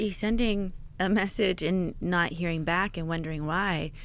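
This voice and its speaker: A woman with an American accent and an ordinary speaking voice, medium in pitch, at a fairly slow pace with fairly even intonation. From Pittsburgh, Pennsylvania. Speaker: author and filmmaker. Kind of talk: casual interview.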